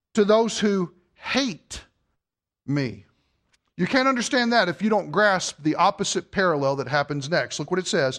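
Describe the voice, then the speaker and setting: A loud man with a high pitch and very wide pitch swings speaks with long, frequent pauses against a quiet background. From Kentucky. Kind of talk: sermon. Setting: church.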